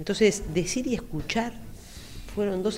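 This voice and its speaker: A woman is talking. Room echo is audible. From Uruguay, Montevideo (Carrasco). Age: 50s. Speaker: psychologist. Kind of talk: interview.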